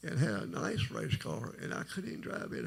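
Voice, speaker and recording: Noticeable background noise is heard. A man talks at a fairly quick pace. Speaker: testimony speaker. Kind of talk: testimony. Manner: low, quiet.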